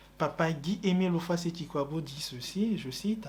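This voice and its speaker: The man's voice is pitched high. Its pitch shifts in an ordinary way. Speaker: religious preacher. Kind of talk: religious teaching.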